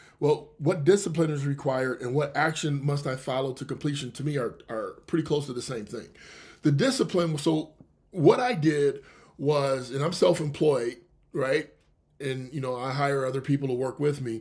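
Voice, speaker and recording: The man's voice sits fairly high in pitch and sounds somewhat breathy. His intonation stays fairly even. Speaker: radio show host and author. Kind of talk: radio show monologue. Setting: live internet radio show. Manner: fast.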